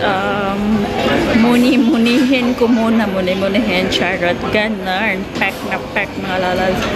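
Over loud background music, a woman speaks with ordinary pitch variation. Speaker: food vlogger. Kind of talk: casual vlog chat. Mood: cheerful, playful. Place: cafe. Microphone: phone near.

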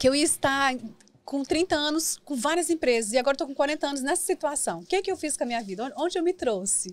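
A woman talks at a very fast pace with lively intonation and a high pitch. The sound is dry, with no echo. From Brazil, Minas Gerais (Valadares) and São Paulo; Minas Gerais, Brazil. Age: 40s. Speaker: businesswoman and mentor; podcast guest. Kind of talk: interview. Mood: reflective, personal storytelling. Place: studio. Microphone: studio mic.

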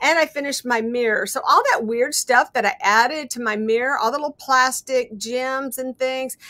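With hardly any pauses, a woman speaks in a raised, projected voice at a moderate pace and with ordinary pitch variation. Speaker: guest. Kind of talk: casual craft show-and-tell. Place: home room. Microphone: webcam.

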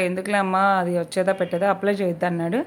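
In a very clean recording, a woman talks against a silent background. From Andhra Pradesh, Prakasam district. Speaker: vlogger. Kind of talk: casual vlog narration.

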